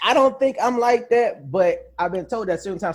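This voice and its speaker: The speech is delivered at a very fast pace. The recording is very clean, with a silent background. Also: man. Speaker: podcast co-host. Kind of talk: casual chat. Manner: fast when excited.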